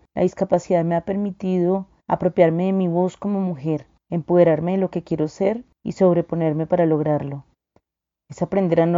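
With fairly even intonation and a moderate pace, a plain, everyday voice carries the words. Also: woman. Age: 40s. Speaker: lawyer and women's rights advocate. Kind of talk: testimony.

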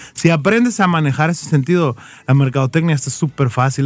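Here a man with a normal speaking voice talks at a fairly high pitch and ordinary pitch variation. His pace is fairly quick. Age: 30s. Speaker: marketing freelancer and advertising consultant. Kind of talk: casual chat. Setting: studio.

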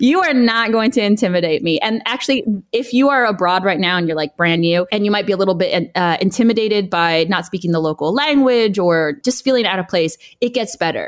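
A woman with an American accent, medium pitch, lively intonation and a fairly quick pace. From US, Los Angeles, California. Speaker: founder of a moving-abroad platform, content creator. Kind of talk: interview conversation. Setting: remote call.

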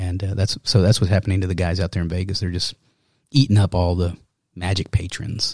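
This man's voice is very deep and low, somewhat breathy, with fairly even intonation. He talks at a fairly quick pace in a very clean recording with a silent background. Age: 40s. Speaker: magician and artist. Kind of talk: casual chat.

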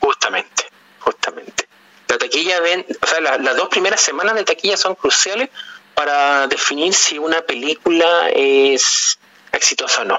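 A man with a high pitch keeps his loudness very even against noticeable background noise. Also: ordinary pitch variation, moderate pace. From Chile. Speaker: film podcast panelist. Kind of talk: casual interview. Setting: phone call.

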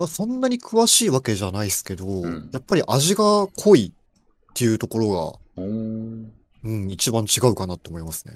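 Loudness swings widely as a man speaks at a moderate pace. The recording is very clean, with a silent background. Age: 20s. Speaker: programmer. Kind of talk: casual chat.

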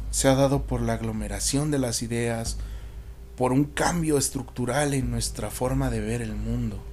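A man talking at a fairly slow pace, with audible room echo and noticeable background noise. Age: 20s. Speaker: podcast host. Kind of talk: solo monologue podcast.

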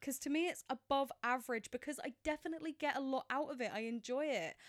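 A woman talks at a fairly quick pace in a high pitch with ordinary pitch variation, the sound dry and close with no echo. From England. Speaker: film podcast co-host. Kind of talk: casual chat. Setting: home spare bedroom office.

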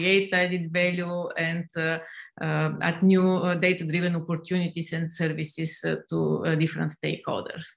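A woman with a Bulgarian accent, fairly low in pitch, at a moderate pace with monotone, flat intonation. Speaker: professor. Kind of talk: panel discussion. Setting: video call.

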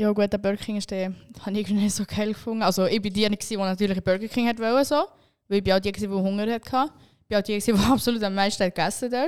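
A woman talks very fast at a medium pitch, her intonation fairly even. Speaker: podcast co-host. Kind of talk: casual chat.

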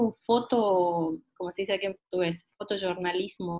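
A woman speaks in an ordinary speaking voice, with ordinary pitch variation. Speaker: travel writer. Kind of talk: online group discussion. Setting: video call. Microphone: unstable connection.

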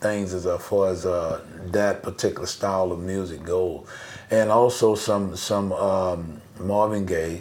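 A man's fairly low voice at a very slow pace, with audible room echo. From US South, New Orleans. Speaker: bass player. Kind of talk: casual interview chat.

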